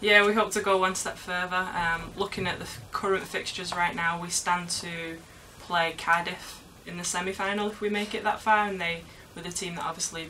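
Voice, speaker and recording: With a Manchester accent, a woman speaks at a fairly quick pace in a fairly low pitch and a monotone, flat intonation, her loudness swinging widely amid audible room echo and noticeable background noise. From England, Manchester. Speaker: university footballer. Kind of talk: interview.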